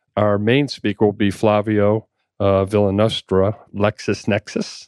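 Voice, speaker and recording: Fairly low-pitched male speech with a slight Boston accent, monotone, flat intonation and a fairly slow pace, in a dry, close sound with no echo and a quiet background. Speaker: insurance agent. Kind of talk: radio interview. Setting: studio.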